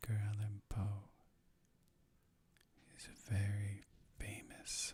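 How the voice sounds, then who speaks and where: The voice is somewhat breathy and the intonation is monotone and flat. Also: man. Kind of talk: casual intro to listener.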